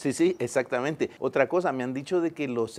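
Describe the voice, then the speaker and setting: Using ordinary pitch variation, a man with a medium pitch speaks at a moderate pace. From El Salvador. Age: 50s. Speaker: engineer and poet. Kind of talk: interview. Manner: hesitant, with fillers.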